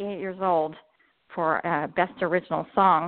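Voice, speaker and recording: With an American accent, a woman speaks at a fairly slow pace in a normal speaking voice, medium in pitch with fairly even intonation. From southern Utah. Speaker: author. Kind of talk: interview. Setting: phone call.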